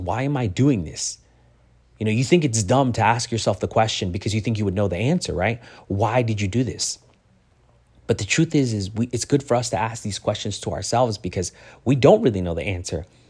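At a fairly quick pace, a man with an unremarkable speaking voice talks at medium pitch with lively intonation. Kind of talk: motivational speech. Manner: earnest, direct, encouraging, with preacherly warmth; conversational, repetitive, with stumbles and self-corrections.

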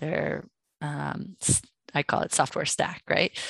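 Her voice sits at a very deep, low pitch, with vocal fry at a moderate pace. The woman's sound is dry and close with no echo, over a quiet background. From New York City. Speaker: partnerships director at a software company. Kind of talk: casual interview.

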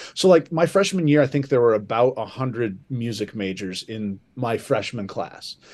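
In a Midwestern American accent, a man of medium pitch speaks with lively intonation and hardly any pauses. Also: moderate pace, quiet background. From southern Michigan. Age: 40s. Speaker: high school band director. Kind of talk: casual interview. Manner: hesitant with many fillers.

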